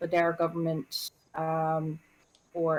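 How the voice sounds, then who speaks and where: Against noticeable background noise, a woman with a Northern Irish accent speaks at a fairly slow pace and a fairly low pitch. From Northern Ireland. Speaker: nurse. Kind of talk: casual chat. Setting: voice call on a livestream. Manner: halting, many fillers.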